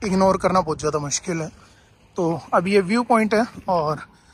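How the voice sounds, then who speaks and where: A high-pitched man is heard in a dry sound with no echo over light background noise. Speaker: travel vlogger. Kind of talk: casual vlog chat. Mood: relaxed, enthusiastic. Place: open country. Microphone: phone near.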